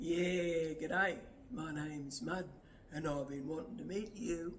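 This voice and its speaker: Using a put-on character voice in an Australian accent, a man speaks at a fairly slow pace with a high pitch over clear background noise. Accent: broad Australian twang. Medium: solo performance. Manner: laconic, relaxed drawl.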